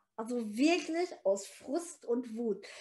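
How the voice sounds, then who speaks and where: Her pitch is high and swings very widely. The woman talks at a very slow pace. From Thuringia, eastern Germany (near Erfurt), left at 8. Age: 70s. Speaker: author and motivational speaker. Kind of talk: interview conversation. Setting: recorded in person in Erfurt. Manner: animated.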